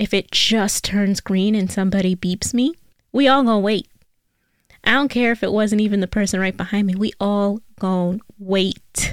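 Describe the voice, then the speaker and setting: Heard in a very clean recording with a silent background and a dry, close sound with no echo, the speaker has a New York accent, very even loudness, a moderate pace and fairly even intonation. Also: woman, medium pitch for a woman. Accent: New York City. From New York City (Bronx area). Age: 20s. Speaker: podcast host. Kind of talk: casual solo advice talk.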